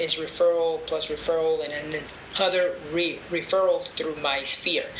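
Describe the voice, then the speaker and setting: Over noticeable background noise and audible room echo, a man with a high pitch speaks at a fairly slow pace with fairly even intonation. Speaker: real estate investor and agent. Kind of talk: podcast interview.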